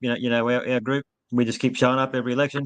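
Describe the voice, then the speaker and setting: Very fast male speech with an Australian accent, medium pitch, monotone, flat intonation, and a quiet background. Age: 60s. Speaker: election candidate. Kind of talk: casual interview.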